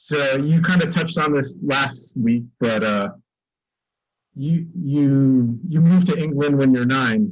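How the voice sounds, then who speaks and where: Very slowly and with long, frequent pauses, a man with an American accent talks with ordinary pitch variation. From US, central New Jersey. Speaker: podcast co-host. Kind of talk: casual chat.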